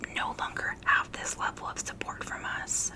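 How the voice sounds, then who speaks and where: Noticeable noise fills the background. A voice whispers over it. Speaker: hospice worker. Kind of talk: ASMR whisper ramble. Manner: whispered; casual, relaxed.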